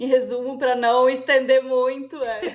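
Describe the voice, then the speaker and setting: A woman with a high pitch. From southern Brazil, Joinville, Santa Catarina. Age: 30s. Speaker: illustrator. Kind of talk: podcast interview.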